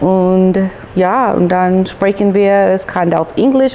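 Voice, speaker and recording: At a very slow pace, a woman with a medium-pitched voice speaks over noticeable background noise. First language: English (speaking German). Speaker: YouTuber. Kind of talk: casual vlog chat. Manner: halting, hesitant.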